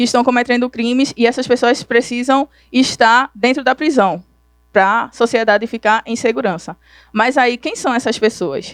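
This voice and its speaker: With a dry, close sound and no echo, a woman speaks at a moderate pace in a high pitch with ordinary variation. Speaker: conference speaker. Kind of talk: lecture.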